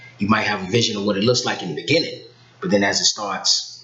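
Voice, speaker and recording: Over noticeable background noise, a man speaks in a fairly low voice with ordinary pitch variation. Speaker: talk show guest. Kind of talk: casual chat. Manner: soft-spoken.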